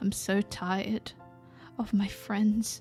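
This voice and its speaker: A woman at a fairly slow pace, with monotone, flat intonation and music in the background. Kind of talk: ASMR roleplay. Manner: vulnerable, emotional.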